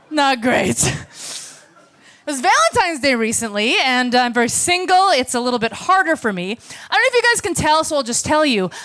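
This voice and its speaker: A high-pitched woman with an American accent, very wide pitch swings and a fairly quick pace, against noticeable background noise. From United States. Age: 40s. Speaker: stand-up comedian. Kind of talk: stand-up. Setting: stage with audience.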